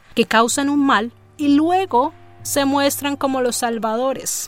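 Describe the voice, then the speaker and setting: Noticeable background noise sits behind the recording. Over it, a woman talks in a dramatic tone. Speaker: podcast narrator and producer. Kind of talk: scripted storytelling narration. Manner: dramatic, suspenseful narration with rhetorical questions.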